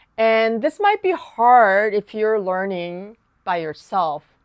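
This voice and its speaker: In a very clean recording with a silent background and a dry, close sound with no echo, the speaker talks at a fairly slow pace with a Korean accent. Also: woman. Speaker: piano teacher. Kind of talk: tutorial.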